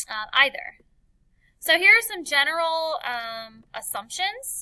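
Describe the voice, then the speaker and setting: A woman with an American accent speaks in a raised, projected voice at an extremely high pitch, bright and sharp in tone. Her pace is very slow, and her pitch swings very widely. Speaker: teacher. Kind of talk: lecture. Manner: many filler words.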